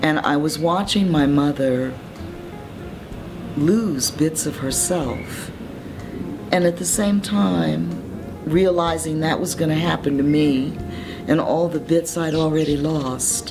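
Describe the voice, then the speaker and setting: Music plays behind a woman whose voice is very deep and low, with ordinary pitch variation and a calm tone. She speaks at a very slow pace with long, frequent pauses. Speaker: poet. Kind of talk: interview answer. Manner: calm, reflective.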